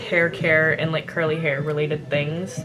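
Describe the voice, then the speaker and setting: Over music in the background and audible room echo, a woman speaks with an American accent. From California and Louisiana. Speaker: lifestyle vlogger. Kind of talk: casual Q&A vlog. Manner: quiet, lowered voice; chatty, filler-heavy.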